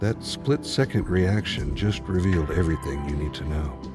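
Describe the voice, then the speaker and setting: Music plays behind a man with a very deep, low voice who speaks at a fairly slow pace. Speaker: voiceover narrator. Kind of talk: motivational self-improvement narration.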